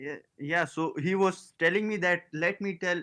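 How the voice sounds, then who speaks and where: A man with a Pakistani accent talks fairly slowly in a bright, sharp tone with ordinary pitch variation, the sound dry and close with no echo. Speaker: scambaiter. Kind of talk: casual chat.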